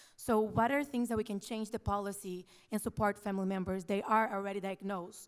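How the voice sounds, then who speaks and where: The speech runs at a fairly quick pace in a non-native accent. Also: woman. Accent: has a foreign. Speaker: audience member asking a question. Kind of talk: audience question at panel discussion.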